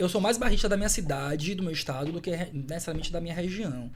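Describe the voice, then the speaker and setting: Audible room echo surrounds a man speaking in a fairly high pitch with ordinary pitch variation. He has a strong Salvador accent. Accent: strong Salvador Bahian. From Salvador, Bahia, Brazil. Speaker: professor. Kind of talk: podcast interview.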